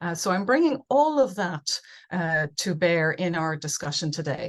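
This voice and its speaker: A woman with an Irish accent, fairly low in pitch, at a moderate pace. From Ireland. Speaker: conference speaker, business researcher and coach. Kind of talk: webinar presentation. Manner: many fillers and repetitions.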